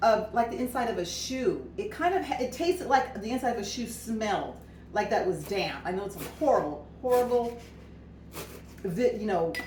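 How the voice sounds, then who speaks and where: The voice is animated, swinging very widely in pitch, with audible room echo. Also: woman, high pitch for a woman. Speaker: cooking product consultant. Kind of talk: cooking demo and product pitch. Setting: at home, snow outside. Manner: fast.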